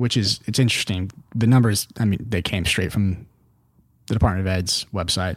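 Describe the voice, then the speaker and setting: In a very clean recording with a silent background, a man with an ordinary speaking voice talks at a moderate pace, his fairly low pitch held in fairly even intonation. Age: 20s. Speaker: think tank policy analyst and podcast host. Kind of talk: casual chat.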